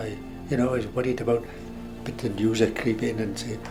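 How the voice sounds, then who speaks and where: With music in the background, a man at medium pitch talks at a very fast pace with ordinary pitch variation. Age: 80s+. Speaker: war veteran. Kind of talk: interview answer.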